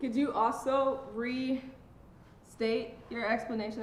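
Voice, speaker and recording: A woman talks at a fairly high pitch, and audible room echo can be heard. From Jamaica. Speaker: podcast host. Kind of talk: casual chat.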